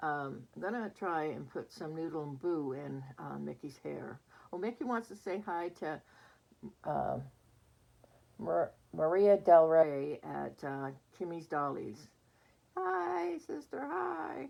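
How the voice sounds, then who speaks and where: Speaking at a very slow pace, a woman leaves long, frequent pauses, and her loudness swings widely. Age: 60s. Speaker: reborn doll collector vlogger. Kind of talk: casual vlog chat. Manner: chatty, hesitant with fillers.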